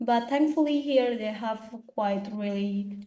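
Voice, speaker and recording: A woman's somewhat breathy, fairly high voice with a dark, mellow tone, at a moderate pace, amid audible room echo. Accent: Indonesian. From Eastern Indonesia. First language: Indonesian. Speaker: international graduate student. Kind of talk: seminar Q&A answer.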